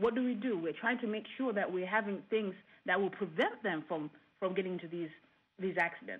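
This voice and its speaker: Her pitch is medium for a woman, with ordinary pitch variation at a fairly quick pace, and she has an ordinary speaking voice. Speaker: engineer and professor. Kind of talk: studio panel discussion.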